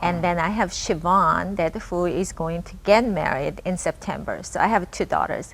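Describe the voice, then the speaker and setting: A woman speaks with a Korean accent. She leaves hardly any pauses. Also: moderate pace. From Japan (born in Korea). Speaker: local politician. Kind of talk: interview.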